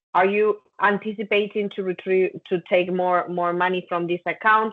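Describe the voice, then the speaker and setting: A woman with a Spanish accent speaks at medium pitch and a moderate pace, her intonation fairly even. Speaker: compliance trainer. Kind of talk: training session.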